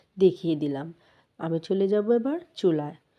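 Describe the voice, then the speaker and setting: Against a quiet background, a woman with a fairly low pitch and a dark, mellow tone speaks with lively intonation. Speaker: cooking vlogger. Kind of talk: cooking tutorial.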